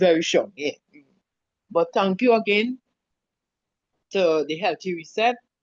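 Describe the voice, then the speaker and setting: The speech moves at a fairly slow pace with ordinary pitch variation and long, frequent pauses. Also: woman, medium pitch for a woman. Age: 60s. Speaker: participant sharing experience. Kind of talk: testimony. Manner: halting.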